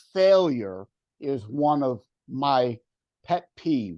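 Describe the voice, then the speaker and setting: A very slow, fairly high-pitched man's voice with a dark, mellow tone, lively intonation, long and frequent pauses, and a quiet background. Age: 60s. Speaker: author. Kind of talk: interview.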